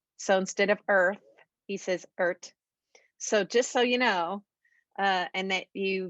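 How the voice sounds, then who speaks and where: A woman with an ordinary speaking voice and an American accent, medium pitch and ordinary pitch variation at a moderate pace, in a dry, close sound with no echo against a quiet background. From United States. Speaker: podcast host, voice teacher and singer. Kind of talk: podcast interview.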